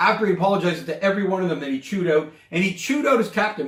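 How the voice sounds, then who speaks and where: The man's voice sits at a high pitch with ordinary pitch variation. He speaks at a very fast pace. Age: 60s. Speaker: sports podcast co-host. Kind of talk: casual sports chat. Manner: animated.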